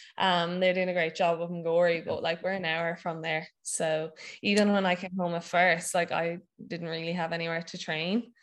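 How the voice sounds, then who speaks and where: In a Wexford Irish accent, a woman with a fairly low pitch talks in a monotone, flat way against a quiet background. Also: moderate pace. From Ireland, County Wexford. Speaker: CrossFit athlete and gym owner. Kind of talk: casual interview. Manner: hesitant, many fillers.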